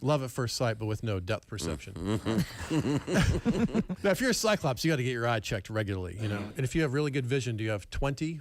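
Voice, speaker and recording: At a fairly quick pace, a man speaks in a normal speaking voice of medium pitch with lively intonation. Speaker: comedian. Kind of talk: comedy monologue on radio show.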